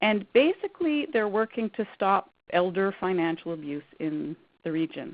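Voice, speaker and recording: A woman speaks at a medium pitch with a Canadian accent. Her pace is moderate and her pitch swings very widely. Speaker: credit counsellor presenting a workshop. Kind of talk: webinar presentation.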